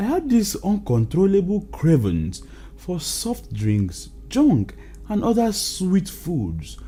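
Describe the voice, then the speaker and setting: A very slow pace with music in the background. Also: man. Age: 60s. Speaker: health product promoter. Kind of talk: sales pitch.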